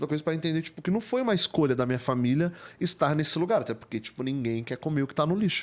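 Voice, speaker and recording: In an unremarkable speaking voice, a man talks at a fairly high pitch with ordinary pitch variation, recorded very cleanly against a silent background. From Greater São Paulo, Brazil (Diadema). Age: 30s. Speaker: photographer and digital influencer. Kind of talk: podcast interview. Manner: casual, slangy.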